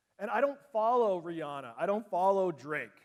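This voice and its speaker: A man with a strong Canadian accent speaks at a high pitch. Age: 40s. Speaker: teacher and conference presenter. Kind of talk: conference presentation. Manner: animated.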